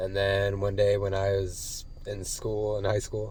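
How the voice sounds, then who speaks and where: The voice is dark and mellow, somewhat breathy, in an American accent. Room echo is audible. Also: man. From Colorado, US. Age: 20s. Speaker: vlogger recovering from addiction. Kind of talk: personal vlog testimony. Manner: casual, hesitant with many fillers.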